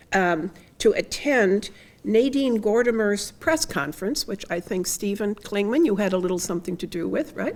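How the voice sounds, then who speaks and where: A woman's medium-pitched voice with lively intonation at a moderate pace, in a very clean recording with a silent background. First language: German. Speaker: retired professor, memorial speaker. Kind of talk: memorial tribute speech. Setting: memorial service with audience.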